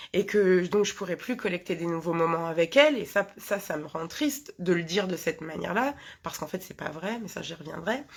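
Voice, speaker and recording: Lively intonation runs through a woman's fairly low voice as she talks at a fairly quick pace. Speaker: hypnotherapist. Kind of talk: live talk to viewers. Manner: fast; halting, many fillers.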